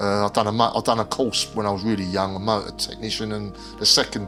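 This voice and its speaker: Music plays in the background. A man with a South London accent speaks at a fairly low pitch. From South East London. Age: 60s. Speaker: former bodyguard, children's author. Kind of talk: interview answer.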